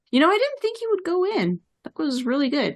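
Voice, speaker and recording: Using a put-on character voice, a woman speaks squeaky and extremely high, at a fairly quick pace with very wide pitch swings. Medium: actual play. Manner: inquisitive, friendly.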